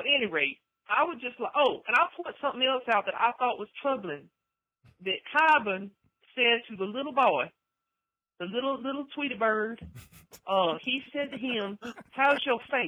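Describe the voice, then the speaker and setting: Long, frequent pauses break up a woman's high-pitched speech, delivered with lively intonation. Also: moderate pace. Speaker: voicemail caller.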